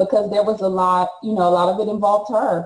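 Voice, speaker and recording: A somewhat breathy woman speaks with fairly even intonation, and the room echo is audible. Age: 40s. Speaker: author and speaker; speaker. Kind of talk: testimony. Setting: video call. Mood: earnest, emotional personal story. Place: home room. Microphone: video call.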